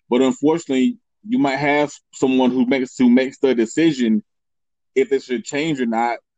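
With an ordinary speaking voice at a medium pitch, a man talks at a fairly quick pace with fairly even intonation, recorded with a dry, close sound and no echo. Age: 30s. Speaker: marketing expert. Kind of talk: interview.

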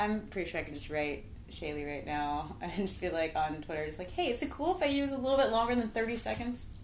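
Very wide pitch swings mark this woman's medium-pitched voice. She talks at a very fast pace. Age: 30s. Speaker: podcast host. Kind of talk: casual chat. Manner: animated.

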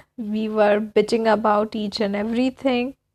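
Over a quiet background, a woman with a fairly high pitch speaks at a fairly slow pace, the sound dry and close with no echo. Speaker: podcaster. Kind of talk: personal storytelling monologue. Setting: sitting at home by a window.

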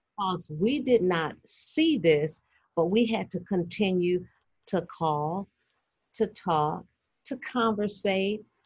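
A woman talks in a warm tone at a medium pitch, somewhat breathy, with lively intonation. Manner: warm, encouraging, faith-filled.

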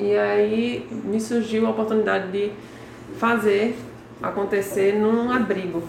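A woman speaks at a medium pitch and a fairly slow pace, her intonation fairly even and her loudness very even, with long, frequent pauses, audible room echo and noticeable background noise. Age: 30s. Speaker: entrepreneur making children's activity panels. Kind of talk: interview.

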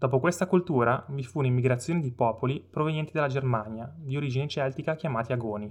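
This man has a plain, everyday voice with medium pitch and ordinary pitch variation. He talks at a fairly quick pace. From Stresa, Lake Maggiore, Piedmont, northern Italy. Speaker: local history podcaster. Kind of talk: scripted narration.

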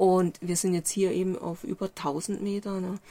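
Very slowly, a woman talks in a dark, mellow tone. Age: 60s. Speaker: journalist and author. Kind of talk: interview. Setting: inside a camper van on a mountain.

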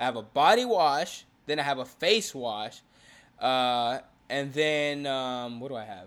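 A man with a plain, everyday voice speaks at a fairly high pitch and a fairly slow pace, with ordinary pitch variation and big swings in loudness, in a very clean recording with a silent background. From Houston, Texas. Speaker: podcast co-host. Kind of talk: casual chat.

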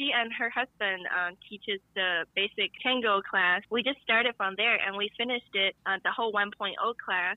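A woman with a Chinese accent, fairly high in pitch, fairly even intonation, at a moderate pace with hardly any pauses. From China. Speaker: guest interviewed about tango. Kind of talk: casual interview chat. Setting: phone call.

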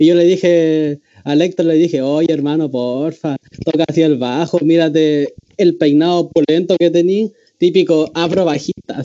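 Someone with a Chilean accent speaks at a moderate pace with fairly even intonation. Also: man, fairly high pitch for a man. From Chile, Valparaíso. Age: 20s. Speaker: student guest. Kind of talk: casual chat.

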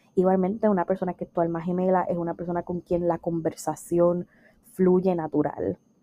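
A woman speaks at a moderate pace in a fairly low voice, with an animated tone. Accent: Puerto Rican. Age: 20s. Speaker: podcast host and life coach. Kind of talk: casual solo monologue.

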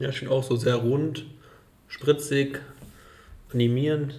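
In a dark, mellow, somewhat breathy voice, a man speaks with monotone, flat intonation and long, frequent pauses, with audible room echo around him. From Germany, Rheingau. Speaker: wine podcast host. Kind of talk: casual interview with wine tasting. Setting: at a winery.

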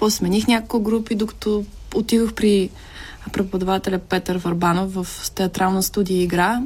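This woman talks at a moderate pace in a medium pitch, somewhat breathy. Her intonation is monotone and flat. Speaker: actress. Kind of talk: casual chat.

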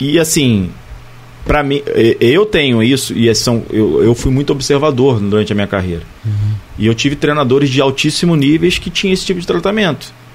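A man's fairly quick speech with very wide pitch swings over noticeable background noise. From Barra do Piraí, Rio de Janeiro state, Brazil. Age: 40s. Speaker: former professional footballer. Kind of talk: casual interview.

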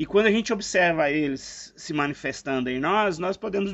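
Fairly quick, lively speech from a man with a high pitch. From Brazil, eastern Minas Gerais. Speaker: philosophy podcast co-host. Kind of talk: casual reflective conversation.

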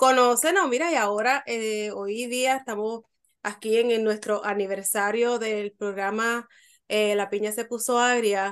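A woman speaks in a plain, everyday voice, fairly high in pitch and at a fairly slow pace, against a quiet background. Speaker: podcast co-host interviewer. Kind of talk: casual interview chat.

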